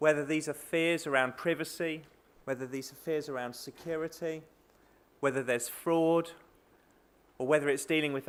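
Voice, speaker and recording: A man with a fairly high pitch speaks at a moderate pace. His intonation stays fairly even, broken by long, frequent pauses. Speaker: keynote speaker, bank managing director. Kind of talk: conference keynote speech. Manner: hesitant, many fillers.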